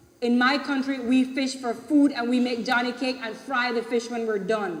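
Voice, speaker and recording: A woman with a high pitch talks at a moderate pace with fairly even intonation. Noticeable background noise is present. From Belize. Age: 40s. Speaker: community member. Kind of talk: public meeting speech. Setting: public consultation meeting.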